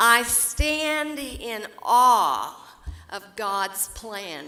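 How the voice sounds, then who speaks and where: With an Oklahoma accent and lively intonation, a woman speaks at a fairly high pitch in a bright, sharp tone. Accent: Oklahoma rural Southern US. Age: 80s+. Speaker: award recipient, businesswoman. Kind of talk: keynote speech. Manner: heartfelt, formal.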